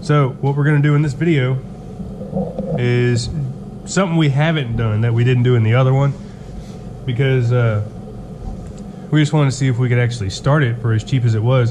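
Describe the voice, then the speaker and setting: A man at a fairly quick pace, fairly even in intonation and very even in loudness, over noticeable background noise. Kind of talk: casual vlog chat. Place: garage. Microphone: phone near.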